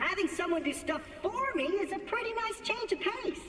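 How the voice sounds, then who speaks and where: Someone does a put-on character voice with an extremely high pitch. The moderate pace sits over clear background noise. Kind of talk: comic overacting. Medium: video game. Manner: fast, excitable, boastful.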